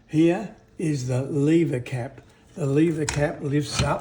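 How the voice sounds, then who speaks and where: Over noticeable background noise, a man with an Australian accent speaks very slowly at a fairly high pitch with fairly even intonation. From Western Australia. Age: 70s. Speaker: retired woodwork teacher, cabinet maker. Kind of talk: casual explanatory demonstration.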